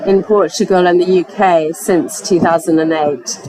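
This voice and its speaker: Crowd noise fills the background as a woman speaks with an English accent. Her pitch is medium, her pace moderate. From England. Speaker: foundation programme director. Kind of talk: panel presentation. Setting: conference pavilion with audience.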